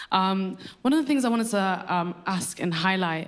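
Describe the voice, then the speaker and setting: A woman with a British accent speaks as music plays in the background. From UK. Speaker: audience member asking a question. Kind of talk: audience question at panel. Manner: halting, many repetitions.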